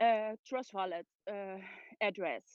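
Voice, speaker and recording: A woman with a non-native accent, speaking at a very slow pace, dry and close with no echo, against a quiet background. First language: not English. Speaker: community member asking a question. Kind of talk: casual Q&A. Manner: halting.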